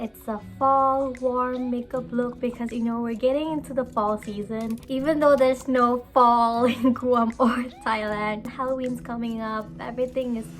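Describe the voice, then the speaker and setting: A woman speaks at a fairly slow pace in a high, flat, monotone voice. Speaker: beauty vlogger. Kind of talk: makeup tutorial. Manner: casual, chatty.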